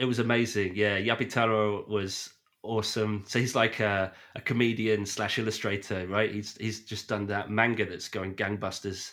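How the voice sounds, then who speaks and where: Speaking at a moderate pace, a man with a British accent uses a fairly low pitch. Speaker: podcast host and film fan. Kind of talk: casual chat. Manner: animated.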